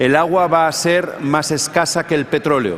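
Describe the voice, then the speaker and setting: At a moderate pace and a fairly high pitch, a man talks over noticeable background noise. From Spain. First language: Spanish. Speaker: politician. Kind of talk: panel discussion.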